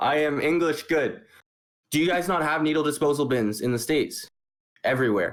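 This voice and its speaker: With a Canadian accent, a man with a fairly high pitch talks at a fairly quick pace with long, frequent pauses, ordinary pitch variation and very even loudness on a very clean recording with a silent background. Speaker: podcast host. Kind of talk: casual chat. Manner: halting.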